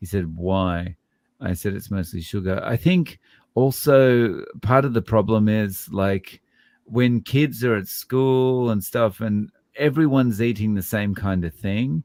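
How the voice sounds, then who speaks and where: A man speaks with an Australian accent. His pitch is fairly low. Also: ordinary pitch variation, fairly slow pace. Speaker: low carb YouTuber. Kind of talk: casual chat.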